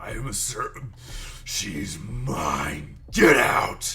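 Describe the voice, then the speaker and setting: A raspy, put-on character voice speaks at a very slow pace. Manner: menacing, possessive.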